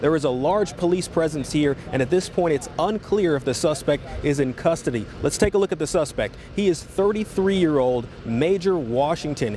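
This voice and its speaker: Over noticeable background noise, the speech moves at a moderate pace with very even loudness and hardly any pauses. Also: man, fairly high pitch for a man, ordinary pitch variation. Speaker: TV news reporter. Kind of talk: live TV news field report.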